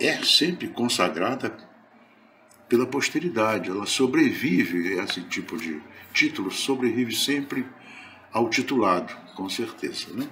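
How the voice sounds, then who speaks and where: Delivery is fairly slow, with long, frequent pauses. Room echo is audible. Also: man. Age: 70s. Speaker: spiritist lecturer. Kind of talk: religious lecture.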